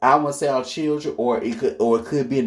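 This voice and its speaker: The recording is very clean, with a silent background. A man speaks in a normal speaking voice at medium pitch with ordinary pitch variation. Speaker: astrology commentator. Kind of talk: casual monologue.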